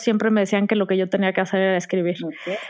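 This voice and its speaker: A woman with a Mexican accent. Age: 40s. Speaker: blogger and writer. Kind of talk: casual chat.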